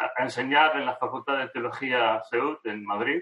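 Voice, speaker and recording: The man speaks with fairly even intonation. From Argentina. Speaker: theology professor. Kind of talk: interview conversation.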